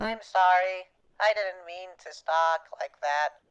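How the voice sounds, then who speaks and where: A put-on character voice, female-sounding and medium in pitch, comes at a fairly slow pace. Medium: machinima. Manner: stammering, hesitant; nervous, apologetic.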